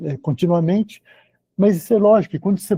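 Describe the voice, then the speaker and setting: The sound is close and dry, without any echo. A man's voice comes through in a dark, mellow tone. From Brazil, Belo Horizonte (Minas Gerais). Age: 60s. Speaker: surgeon, lecturer. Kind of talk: lecture. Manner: halting, with many repetitions.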